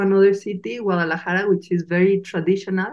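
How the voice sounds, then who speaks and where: With a Mexican accent, a woman speaks at a medium pitch. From Mexico. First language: Spanish. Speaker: podcast host. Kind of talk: casual interview chat.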